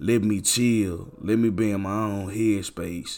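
On a very clean recording with a silent background, a man with a fairly low pitch speaks at a very slow pace with fairly even intonation. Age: 30s. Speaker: podcast host. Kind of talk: casual solo monologue.

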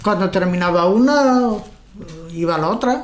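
A woman's medium-pitched voice with lively intonation over noticeable background noise. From Spain, Galicia (Pontevedra area). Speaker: grandmother sharing life memories. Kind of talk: casual chat. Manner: halting.

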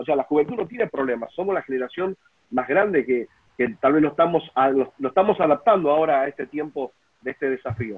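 Fairly high in pitch, a man with an ordinary speaking voice talks at a fairly quick pace with lively intonation. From Buenos Aires, Argentina. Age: 40s. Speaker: pastor. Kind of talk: casual panel discussion. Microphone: unstable internet connection.

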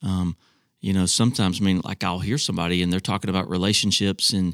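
Very fast speech comes from a man. The sound is dry and close with no echo, on a very clean recording with a silent background. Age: 50s. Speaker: senior pastor. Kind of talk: casual chat.

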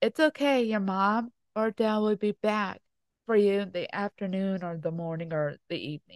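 Here is an ordinary speaking voice from a woman at a medium pitch, with ordinary pitch variation. She keeps a moderate pace, and the sound is dry and close with no echo. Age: 30s. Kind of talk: casual chat. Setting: indoors by a fireplace at home.

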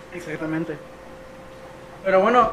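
A man speaks against noticeable background noise. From Toluca, State of Mexico. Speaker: podcast host. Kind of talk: casual chat.

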